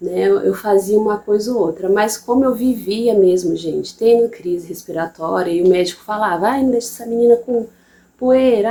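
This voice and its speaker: At a moderate pace, a woman with a fairly high pitch speaks in a dark, mellow tone. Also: big swings in loudness. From interior of Bahia, Brazil. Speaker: mother and channel host. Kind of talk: personal testimony. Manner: casual, halting with repetitions.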